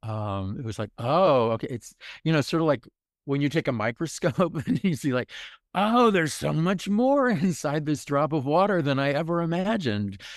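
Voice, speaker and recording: On a very clean recording with a silent background, a man with a fairly high pitch makes very wide pitch swings. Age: 70s. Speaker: intimacy teacher, elder. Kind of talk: interview answer. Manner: slow, reflective.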